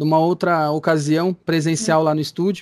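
A man at a fairly quick pace. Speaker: radio host. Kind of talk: interview. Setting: Skype call.

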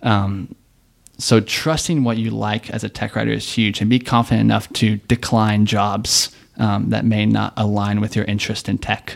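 In a very clean recording with a silent background, a man with an American accent talks at a moderate pace, his fairly low pitch carried by fairly even intonation. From Texas, Dallas area. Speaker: tech writer. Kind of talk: casual chat.

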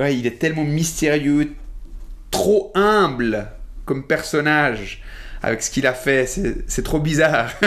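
This man talks at a very slow pace, leaving long, frequent pauses. His pitch is fairly high, with ordinary variation. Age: 40s. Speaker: appliance technician and magician. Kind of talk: interview conversation. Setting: coworking space recording. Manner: halting, many repetitions.

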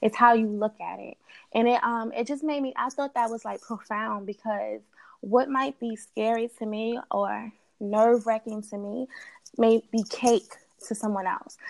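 At a moderate pace, a woman with an American accent keeps a fairly even intonation while her loudness swings widely. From New York (Queens) and Delaware. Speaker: research analyst. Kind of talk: casual chat.

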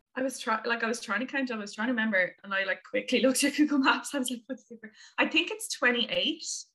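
A woman's high-pitched voice with an Irish accent, bright and sharp in tone, very fast with hardly any pauses, ordinary pitch variation and big swings in loudness. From Limerick, west of Ireland. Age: 20s. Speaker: traveler. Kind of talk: casual chat. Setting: video call.

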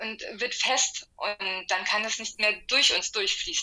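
A woman's fairly high-pitched voice with a bright, sharp tone at a very slow pace. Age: 30s. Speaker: energy healer with a medical profession. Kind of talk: casual interview.

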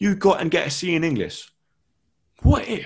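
A man's voice in an animated tone. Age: 20s. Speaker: dyslexia advocate and teaching assistant. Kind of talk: interview. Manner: halting, with repetitions.

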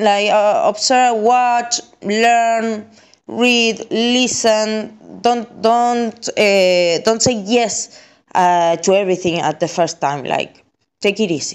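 Very slowly, a woman speaks in an Argentine accent at a fairly high pitch. Her pitch variation is ordinary and her loudness very even. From Argentina. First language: Spanish. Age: 30s. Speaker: content creator. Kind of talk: recorded testimony. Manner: halting, many fillers and repetitions.

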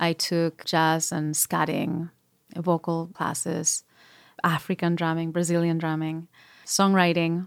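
A woman with a Spanish accent, fairly low-pitched and monotone, at a very slow pace on a very clean recording with a silent background. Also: dry, close sound with no echo. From Spain, Madrid area. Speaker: singer-songwriter and producer. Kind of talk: interview.

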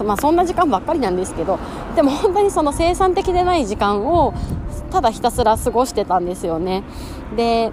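A woman's high voice with very wide pitch swings against noticeable background noise. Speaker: podcast host, working mother. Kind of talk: casual solo monologue. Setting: outdoors, walking during lunch break.

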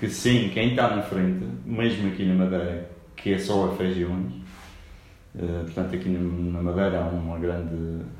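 Room echo and noticeable background noise are audible around this man. He has a very deep, low pitch and talks at a moderate pace. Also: ordinary pitch variation. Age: 30s. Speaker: real estate broker. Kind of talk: interview. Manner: hesitant with fillers.

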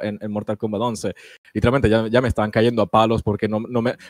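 A man speaks at a medium pitch. The recording is dry and close, with no echo. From Italy. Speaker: YouTuber. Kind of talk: casual chat.

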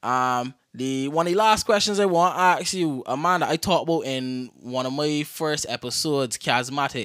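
A man talks in a plain, everyday voice with a fairly high pitch and ordinary pitch variation, at a moderate pace with hardly any pauses. The recording is very clean, with a silent background. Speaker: podcast host. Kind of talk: casual interview.

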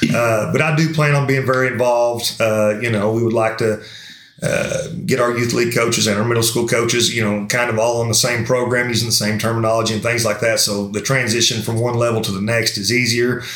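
In a Kentucky accent, the voice keeps a monotone, flat intonation at very even loudness. Audible room echo and noticeable background noise fill the recording. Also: man, medium pitch for a man, fairly quick pace. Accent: Kentucky Southern US. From Somerset, Kentucky. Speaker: high school football coach. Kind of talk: interview.

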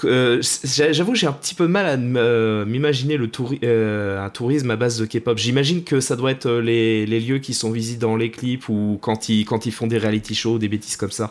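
A man talks at a moderate pace with hardly any pauses. His pitch is medium, with ordinary pitch variation. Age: 20s. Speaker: podcast host, audiovisual and events worker. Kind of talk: casual chat; scripted intro. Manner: halting, repeats words.

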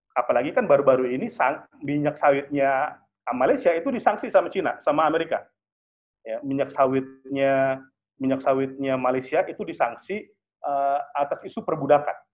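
A man with an ordinary speaking voice, fairly high in pitch, at a fairly quick pace. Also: ordinary pitch variation. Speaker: international relations analyst. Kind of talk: online webinar talk. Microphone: connection dropped.

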